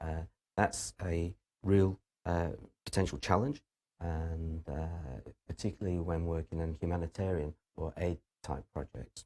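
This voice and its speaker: A man with a British accent speaks at a fairly slow pace with long, frequent pauses, his very deep, low voice dark and mellow with ordinary pitch variation. The recording is very clean with a silent background and a dry, close sound with no echo. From UK. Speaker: university lecturer. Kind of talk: lecture. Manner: halting, many fillers.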